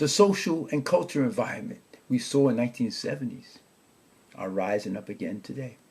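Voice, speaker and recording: Somewhat breathy and at a moderate pace, a man with a medium pitch talks with very wide pitch swings. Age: 70s. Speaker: podcast host. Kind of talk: podcast monologue, partly reading prepared text.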